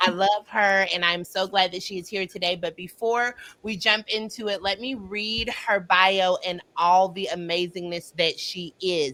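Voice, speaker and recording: With hardly any pauses, a woman speaks at medium pitch in a bright, sharp tone. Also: fairly even intonation. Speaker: psychology student. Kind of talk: casual talk to camera.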